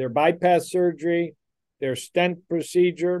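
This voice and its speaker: Speaking with a Midwestern American accent, a man has a high-pitched voice with a dark, mellow tone. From US Midwest, Detroit, Michigan. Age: 60s. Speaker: cardiologist. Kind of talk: interview.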